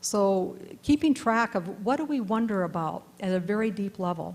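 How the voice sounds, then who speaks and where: On a very clean recording with a silent background, a woman's somewhat breathy voice sits at medium pitch. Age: 60s. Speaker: panelist. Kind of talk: panel discussion talk. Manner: halting.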